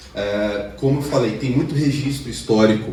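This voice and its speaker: Noticeable background noise sits behind a man speaking at a fairly slow pace. His pitch varies in an ordinary way. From Brazil, Minas Gerais. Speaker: lecturer. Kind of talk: lecture.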